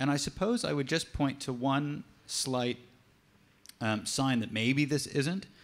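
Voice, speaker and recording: A man with an American accent, medium in pitch, with ordinary pitch variation. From United States. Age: adult. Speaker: teacher, conference panelist. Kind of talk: panel discussion. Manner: hesitant, many fillers.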